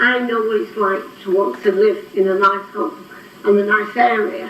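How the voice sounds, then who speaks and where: A woman's shaky voice at a fairly slow pace, with audible room echo and noticeable background noise. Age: 80s+. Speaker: local resident objector. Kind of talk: public comment at council meeting. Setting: council meeting room. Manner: trembling, emotional.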